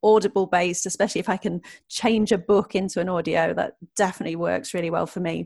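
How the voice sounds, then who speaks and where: A woman's voice with vocal fry, ordinary pitch variation and a moderate pace, over a quiet background. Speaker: podcast host. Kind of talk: interview.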